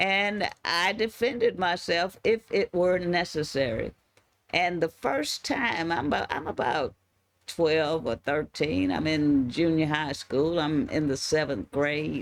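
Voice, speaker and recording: A woman with an American accent, her pitch very deep and low, lively intonation at a fairly slow pace. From Houston, Texas. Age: 70s. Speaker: gospel show host. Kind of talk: casual talk show monologue. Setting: studio.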